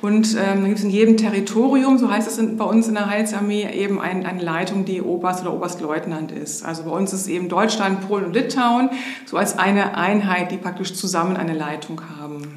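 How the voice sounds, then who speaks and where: A woman's fairly quick voice with ordinary pitch variation, audible room echo and noticeable background noise. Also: medium pitch for a woman. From Hamburg area, northern Germany. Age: 50s. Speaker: social worker, homeless shelter manager. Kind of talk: interview.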